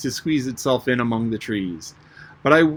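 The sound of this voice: Reading aloud in an unforced reading voice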